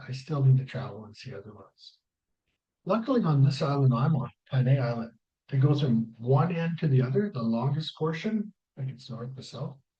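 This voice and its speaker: Speaking in a Canadian accent, a man has a dark, mellow tone that is somewhat breathy. His pace is fairly quick, with big swings in loudness. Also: medium pitch for a man, lively intonation. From Canada. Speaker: travel vlogger. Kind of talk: casual vlog commentary reading from notes. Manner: mumbling.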